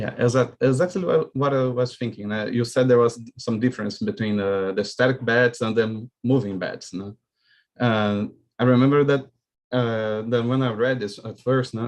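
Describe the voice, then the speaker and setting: A man speaks at a moderate pace with a Portuguese accent. His medium-pitched voice keeps fairly even intonation. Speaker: student. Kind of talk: audience question. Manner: halting.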